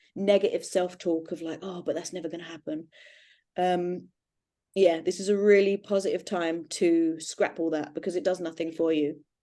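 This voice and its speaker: A woman with a British accent talks at a medium pitch with ordinary pitch variation. Her tone is dark and mellow, set against a quiet background. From Britain. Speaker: astrology podcast co-host, self-described witch. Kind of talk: casual chat.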